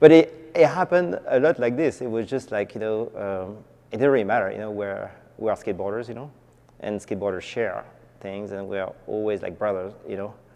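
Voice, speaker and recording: A man with a French accent speaks at a fairly quick pace in a dark, mellow tone of fairly low pitch. His intonation is lively, with big swings in loudness. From France. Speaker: skateboarder, shoe company founder. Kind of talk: documentary interview.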